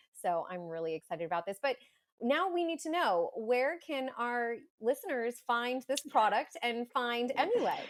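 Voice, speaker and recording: An energetic, enthusiastic tone with very wide pitch swings comes through at a moderate pace. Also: woman, high pitch for a woman. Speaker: podcast host and doula. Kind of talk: podcast interview.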